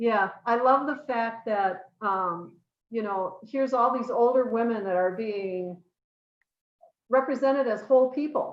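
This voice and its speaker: A woman speaks at a fairly slow pace in a fairly high pitch, with ordinary pitch variation. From US Midwest, northern Wisconsin (Rhinelander). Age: 60s. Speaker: interview guest. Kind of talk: casual interview chat. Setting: live stream.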